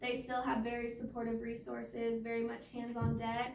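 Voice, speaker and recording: The speech comes at a fairly quick pace with audible room echo. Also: woman. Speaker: case manager at a youth homelessness nonprofit. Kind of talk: presentation at a meeting. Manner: fast.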